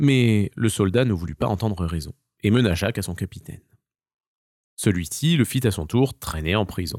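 A man's fairly low, slightly mellow voice with lively intonation at a moderate pace, dry and close with no echo, on a very clean recording with a silent background.

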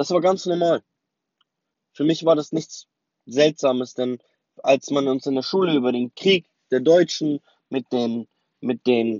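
A man with a non-native accent at a moderate pace, his pitch fairly high with ordinary variation. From West Berlin, Germany. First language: not German (speaking German). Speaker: memoir narrator. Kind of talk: autobiographical storytelling. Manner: casual with many hesitations.

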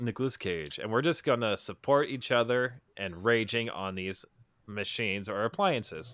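A man's plain, everyday voice at medium pitch and moderate pace, with lively intonation, in a very clean recording over a silent background. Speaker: podcast co-host. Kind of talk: casual comedic chat. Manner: joking, casual.

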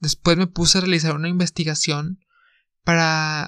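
A man with a Mexican accent and high pitch talks at a fairly slow pace, the sound dry and close with no echo over a quiet background. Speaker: podcast host. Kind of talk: solo podcast monologue. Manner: casual.

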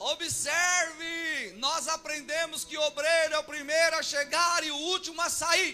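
A man with an extremely high pitch speaks in a raised, projected voice at a fairly slow pace with hardly any pauses. His intonation is monotone and flat, over noticeable background noise. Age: 40s. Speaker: pastor. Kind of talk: sermon.

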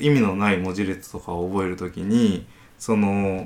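A man with an unremarkable speaking voice, fairly low in pitch, with ordinary pitch variation. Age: 30s. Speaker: company founder and engineering manager. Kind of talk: casual chat.

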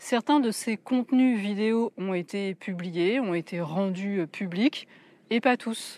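A woman's medium-pitched voice at a very slow pace, with ordinary pitch variation, dry and close with no echo, against a quiet background. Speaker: wellness podcaster and YouTuber. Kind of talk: solo video commentary. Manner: casual, direct address.

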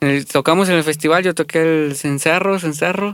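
A man at a moderate pace, with ordinary pitch variation and a dry, close sound with no echo. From Mexico, Aguascalientes (Jesús María). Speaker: musician. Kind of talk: casual chat.

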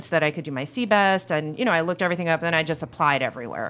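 A woman speaks with an American accent at a fairly low pitch. Her tone is bright and sharp. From New York State (Orange County, NY). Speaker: school vice principal. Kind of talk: casual chat.

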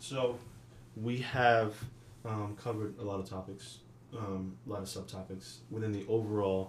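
Long, frequent pauses and fairly even intonation are heard through noticeable background noise and audible room echo. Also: man, fairly low pitch for a man, moderate pace. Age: 20s. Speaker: podcast co-host. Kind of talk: casual chat.

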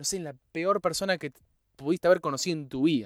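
In a very clean recording with a silent background and a dry, close sound with no echo, a man speaks in an animated tone with ordinary pitch variation. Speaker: podcast host. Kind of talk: solo motivational podcast monologue.

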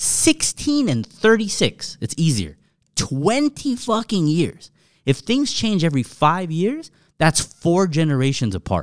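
Speaking with an American accent at a fairly slow pace, a man uses a high pitch and very wide pitch swings in a very clean, dry, close recording with no echo and a silent background. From Southern California. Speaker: car culture figure. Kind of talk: casual chat.

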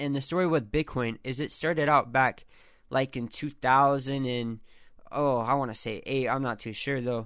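A man speaks in a plain, everyday voice at medium pitch and a moderate pace, his intonation fairly even, on a very clean recording with a silent background. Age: 20s. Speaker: solo podcast host. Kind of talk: casual monologue. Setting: his bedroom. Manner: many filler words and false starts.

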